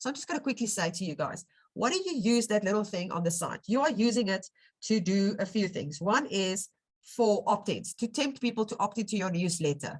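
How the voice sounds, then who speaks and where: A woman speaks at a fairly quick pace with a medium pitch. Her voice is somewhat breathy, and her intonation is lively. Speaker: web design tutor. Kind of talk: tutorial. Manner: casual, conversational.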